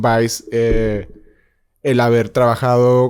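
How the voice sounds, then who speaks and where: The recording is very clean, the background silent. In it, a man talks at a medium pitch. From northern Mexico, Ciudad Juárez. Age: 30s. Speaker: freelance filmmaker and journalist. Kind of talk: interview conversation. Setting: studio. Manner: halting, many fillers.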